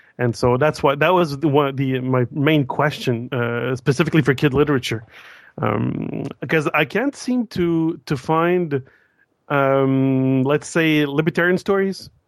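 Speaking at a fairly slow pace, a man with a fairly high pitch uses ordinary pitch variation. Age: 30s. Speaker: caller. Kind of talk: call-in conversation. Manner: halting, many fillers.

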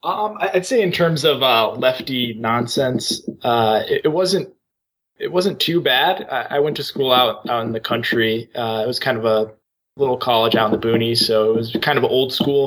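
A man talks at a medium pitch and a moderate pace. His intonation is lively. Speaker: caller. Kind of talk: casual conversation. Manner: halting.

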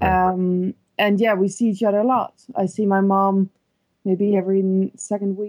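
A woman's medium-pitched voice, monotone and flat, with very even loudness and a dry, close sound with no echo. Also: moderate pace. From Netherlands. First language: Dutch. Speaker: caller. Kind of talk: advice call.

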